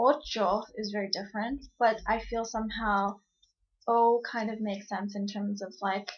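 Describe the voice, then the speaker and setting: The speech moves at a fairly slow pace in a Cantonese accent, with fairly even intonation. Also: woman. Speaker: vlogger. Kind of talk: casual vlog talk. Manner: hesitant, many fillers.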